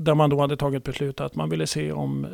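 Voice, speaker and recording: With a very deep, low pitch, a man speaks at a moderate pace while his voice makes very wide pitch swings. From Sweden, Gävle. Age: 60s. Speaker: sports club adviser. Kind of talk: interview. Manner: halting.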